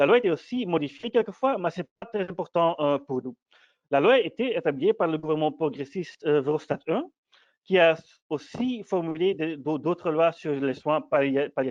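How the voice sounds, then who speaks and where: A man talks at a moderate pace with a non-native accent. His pitch is high for a man. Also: lively intonation. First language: not French (speaking French). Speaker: PhD student presenting research. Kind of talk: academic conference talk. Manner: halting, many hesitations and repetitions.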